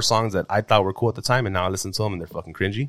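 A fairly low-pitched man at a very fast pace, on a very clean recording with a silent background. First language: Spanish. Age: 30s. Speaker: podcaster. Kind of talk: casual chat.

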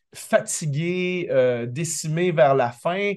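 This man's voice sits high in pitch. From Quebec. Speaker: basketball analyst. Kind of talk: radio sports analysis.

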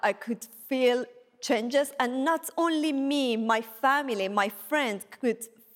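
High-pitched female voice, a woman's, showing ordinary pitch variation. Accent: Persian. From Iran. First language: Persian. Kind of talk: testimony. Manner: halting.

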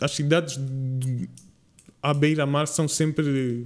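This man's pitch is fairly high. His intonation stays monotone and flat. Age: 20s. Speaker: podcast guest, university student. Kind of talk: casual chat.

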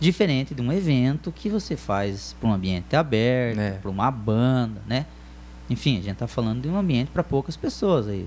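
This man's voice sits at a medium pitch, and his delivery runs at a fairly quick pace. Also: lively intonation. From Telêmaco Borba, Paraná, Brazil. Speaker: DJ. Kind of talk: casual chat. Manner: halting.

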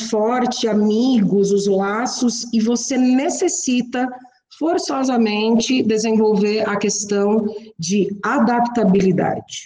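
In a fairly high voice with lively intonation, a woman speaks at a very slow pace. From Santa Catarina, Brazil (west, near Chapecó). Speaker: engineer, plant manager. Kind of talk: interview.

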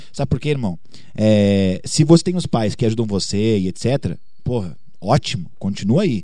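A man talks at a moderate pace with lively intonation. His fairly low-pitched voice has a dark, mellow tone. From Bagé, interior of Rio Grande do Sul, Brazil. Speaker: singer and YouTuber. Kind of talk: interview.

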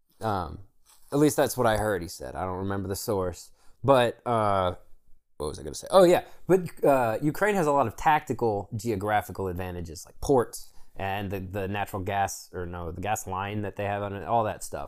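With a normal speaking voice, a man talks at a moderate pace and fairly low pitch, with lively intonation and big swings in loudness, on a very clean recording with a silent background. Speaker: podcast co-host. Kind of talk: casual banter between friends. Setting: home, cold room, recording with a friend. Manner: casual, profane, joking.

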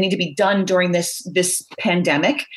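A somewhat breathy woman with an American accent at a moderate pace. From Philadelphia suburbs. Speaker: orthopedic surgeon. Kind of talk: interview. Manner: halting.

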